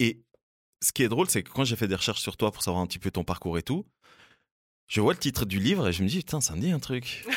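A man's medium-pitched voice at a very fast pace, with long, frequent pauses and very wide pitch swings, on a very clean, silent recording with a dry, close sound and no echo. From Switzerland, Fribourg. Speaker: podcast host. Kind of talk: casual chat. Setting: studio.

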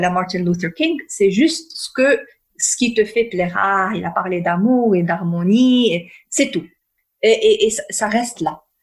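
A woman speaks at a very slow pace with a somewhat breathy voice. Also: lively intonation. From northern Morocco. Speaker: peace and conflict resolution consultant. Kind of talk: interview.

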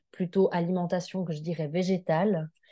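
Very slowly, a woman speaks with a dark, mellow tone. Her pitch is fairly low, and the background is quiet. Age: 30s. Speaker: social worker sharing health testimony. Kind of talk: interview testimony.

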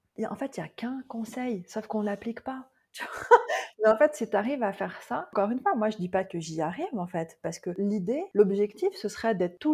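Somewhat breathy and dark, mellow in tone, a woman speaks at medium pitch with lively intonation. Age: 40s. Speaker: Ayurveda consultant. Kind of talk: casual interview.

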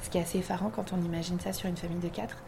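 Here a woman is talking. Her pitch lands in the medium range. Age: 30s. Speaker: shop owner. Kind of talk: interview. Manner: hesitant, many fillers.

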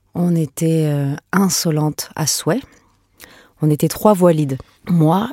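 With a dry, close sound and no echo, a woman talks at a fairly slow pace in a very deep, low voice with a dark, mellow tone and ordinary pitch variation. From France and Venezuela. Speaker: singer and musician. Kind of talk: interview.

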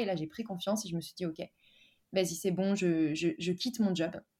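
A woman's dark, mellow, somewhat breathy voice at a very fast pace, with ordinary pitch variation. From France, Dijon. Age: 20s. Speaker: freelance marketer and digital nomad. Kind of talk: casual interview.

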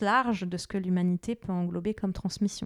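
A woman's voice on a very clean recording with a silent background and a dry, close sound with no echo. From Lebanon. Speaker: image and identity coach, entrepreneur. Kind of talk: interview.

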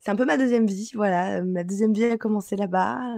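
Her tone is dark and mellow. The woman speaks at a medium pitch. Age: 20s. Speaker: Instagram coach and trainer. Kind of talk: interview.

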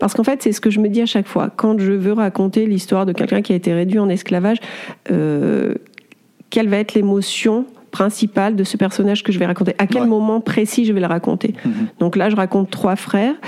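Using an ordinary speaking voice, a woman talks at a fairly quick pace with medium pitch, fairly even intonation and very even loudness. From France, Auvergne (Clermont-Ferrand). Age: 40s. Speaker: sculptor. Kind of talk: interview.

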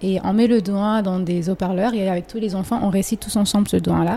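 A woman at medium pitch with ordinary pitch variation and a moderate pace. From anglophone countries, Comorian family. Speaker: engineer and school co-founder. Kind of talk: interview conversation. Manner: halting, many repetitions.

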